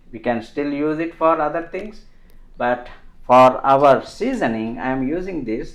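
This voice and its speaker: A fairly high-pitched male voice with very wide pitch swings. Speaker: home cook. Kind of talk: tutorial. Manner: slow; halting.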